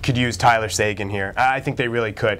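The voice belongs to a man. Ordinary pitch variation shapes his speech. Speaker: sports columnist host. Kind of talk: sports debate commentary. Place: studio.

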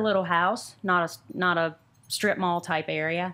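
A woman speaks in a normal speaking voice with a fairly low pitch. Her pace is moderate and her intonation fairly even. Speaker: guest. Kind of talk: interview answer. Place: shop. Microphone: studio mic.

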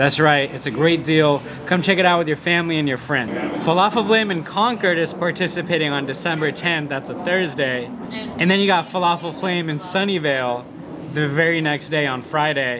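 Noticeable background noise sits behind a man speaking at a fairly quick pace with ordinary pitch variation. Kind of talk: promotional vlog chat. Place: cafe. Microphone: phone near.

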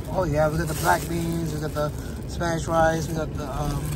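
Fairly slow speech, dry with no echo, over loud background noise. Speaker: food vlogger. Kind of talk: casual vlog chat. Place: car. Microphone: phone near.

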